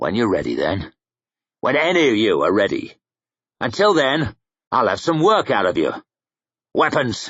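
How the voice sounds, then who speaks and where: A man's put-on character voice, growling and fairly high, at a moderate pace with very even loudness and long, frequent pauses. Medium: read story. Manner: blunt, rough.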